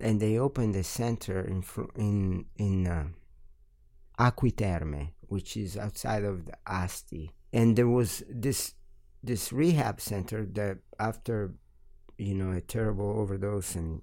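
A man with an Italian accent speaks at a fairly slow pace, fairly low in pitch with ordinary pitch variation. His tone is dark and mellow, on a very clean recording with a silent background. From Italy, Milan. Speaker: musician and studio owner. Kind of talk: interview. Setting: studio.

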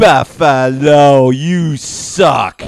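In a put-on character voice with a New York accent, a man speaks fairly high with fairly even intonation. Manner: taunting.

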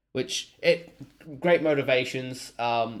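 On a very clean recording with a silent background, a man with an Australian accent speaks at a medium pitch. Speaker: comic shop worker and podcast co-host. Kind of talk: casual chat.

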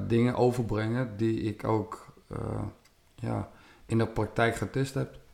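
Speech comes very slowly. The pitch rises and falls in an ordinary way. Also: man. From Netherlands, West-Friesland (Noord-Holland). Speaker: martial arts champion and instructor. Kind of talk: casual interview.

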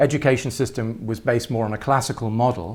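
With an English accent, a man speaks at a moderate pace and medium pitch. His pitch variation is ordinary. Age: 50s. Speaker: artist. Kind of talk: interview.

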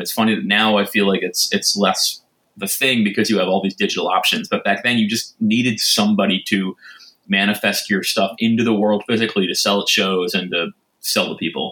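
Bright and sharp, a man's medium-pitched voice moves at a fairly quick pace. His pitch varies in an ordinary way. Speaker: record label co-founder guest. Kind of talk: casual interview.

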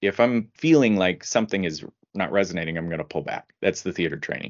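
A man's normal speaking voice in an American accent, fairly low in pitch, with lively intonation and a fairly quick pace. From US Midwest (Indiana). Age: 50s. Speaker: legal marketing director. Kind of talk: interview.

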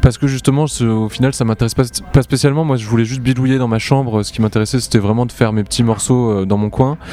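Noticeable background noise runs under a man speaking at a very fast pace. His pitch is medium and his intonation fairly even. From southern France, Montpellier. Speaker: electro-pop musician. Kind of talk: interview. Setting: outdoor music festival.

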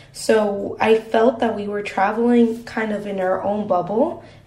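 The intonation stays fairly even. Background noise is noticeable. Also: woman. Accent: Spanish. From Mexico. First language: Spanish. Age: 20s. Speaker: university student. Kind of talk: interview.

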